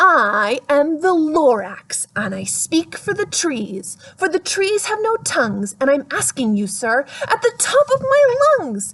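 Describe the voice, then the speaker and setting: Putting on a character voice, a woman projects loudly at a high pitch with very wide pitch swings. She speaks at a fairly slow pace. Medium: read story. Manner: bossy, shouting.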